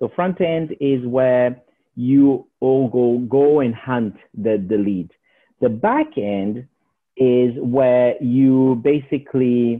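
A man speaks at a very slow pace. His pitch is medium, with ordinary pitch variation. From Portugal. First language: Portuguese. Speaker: property investor. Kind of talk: interview.

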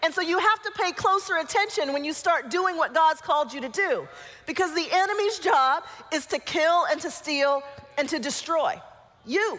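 With music in the background, a woman in an American accent speaks at a moderate pace with an extremely high pitch, a warm, playful tone and lively intonation. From Colorado, US. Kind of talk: guided visualization inside a church talk, leading the audience with eyes closed; church talk to a young adult group. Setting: church with live audience. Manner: warm and playful, with laughs.

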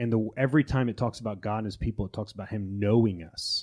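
In a very clean recording with a silent background, a man speaks in an unremarkable speaking voice, fairly low in pitch, with ordinary pitch variation. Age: 20s. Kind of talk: casual chat about theology.

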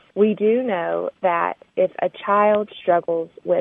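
With a Southern US accent, a woman talks using ordinary pitch variation. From Arkansas. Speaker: foundation program officer. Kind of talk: interview. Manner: hesitant with frequent um.

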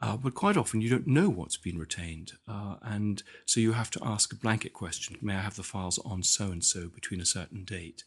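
Here is a man with a British accent, somewhat breathy. He talks at a fairly quick pace with ordinary pitch variation. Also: fairly low pitch for a man, hardly any pauses. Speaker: historian and author. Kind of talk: interview. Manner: halting, repeats words.

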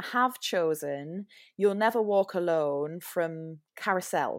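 On a very clean recording with a silent background, a woman with a Geordie accent speaks at a very slow pace with lively intonation. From Newcastle, northern England. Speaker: musical theatre performer. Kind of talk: casual podcast interview.

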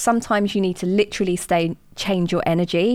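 A woman with a southern English accent, medium in pitch, fairly even in intonation, on a very clean recording with a silent background. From southern England, Watford in Hertfordshire. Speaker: entrepreneur and diversity consultant. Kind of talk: interview.

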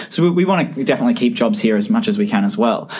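A man with an Australian accent talks very fast in a high voice with very wide pitch swings, over noticeable background noise. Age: 20s. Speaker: medtech startup founder. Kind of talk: podcast interview. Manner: animated.

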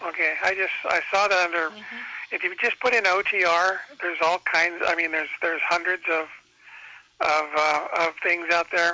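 A man with high pitch and fairly even intonation. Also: moderate pace. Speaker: caller. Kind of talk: casual chat. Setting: phone call.

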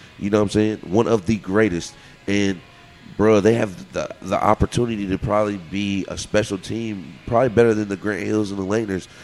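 Over music in the background, a man with a fairly low voice speaks at a fairly quick pace with fairly even intonation. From Louisville, Kentucky. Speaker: club DJ. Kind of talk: casual chat. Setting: bar.

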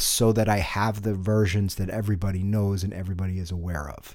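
A man's fairly low voice at a fairly quick pace. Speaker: podcast host, singer-songwriter and music producer. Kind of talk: solo podcast monologue. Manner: lowered, relaxed tone over music.

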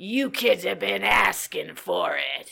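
This is a put-on character voice with a growling quality. It moves at a fairly slow pace. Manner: snarling, threatening.

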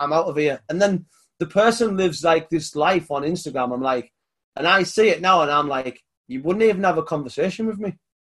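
Against a quiet background, a man speaks with a British accent. His pitch sits fairly high. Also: ordinary pitch variation, fairly quick pace. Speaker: podcast host. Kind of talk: casual interview chat.

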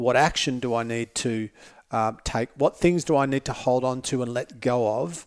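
An Australian accent marks this man's speech, delivered at a moderate pace with fairly even intonation. The sound is dry and close, with no echo. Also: very clean recording, silent background. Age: 50s. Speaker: motivational speaker. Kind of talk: casual chat. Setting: studio.

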